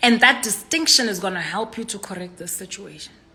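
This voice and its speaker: Noticeable background noise accompanies a woman talking at a fairly quick pace, her medium-pitched voice showing ordinary pitch variation. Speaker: inspirational speaker. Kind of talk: livestream monologue. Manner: loud.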